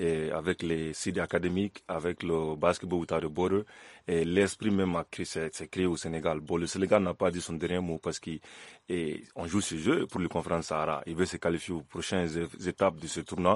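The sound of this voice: A man speaks at a fairly quick pace with a low pitch and fairly even intonation. The sound is dry and close, with no echo.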